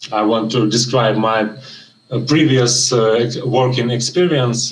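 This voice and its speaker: There is audible room echo around this man's medium-pitched voice, which shows ordinary pitch variation. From Ukraine. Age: 30s. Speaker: job candidate, junior programmer. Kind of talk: mock job interview. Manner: halting, many fillers.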